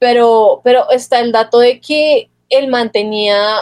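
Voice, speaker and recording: Fairly high pitch and ordinary pitch variation in a woman's voice. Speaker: podcast co-host. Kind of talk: casual chat. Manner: animated.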